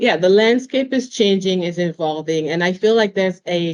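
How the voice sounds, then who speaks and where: In a non-native accent, a woman speaks at a fairly slow pace with a medium pitch and ordinary pitch variation. The sound is dry and close, with no echo. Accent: noticeable foreign. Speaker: panel moderator. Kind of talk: panel discussion.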